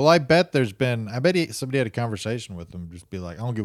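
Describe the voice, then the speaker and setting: On a very clean recording with a silent background, a man of medium pitch talks very fast with very wide pitch swings. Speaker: podcast co-host. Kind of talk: casual comedy banter. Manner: joking, laid-back.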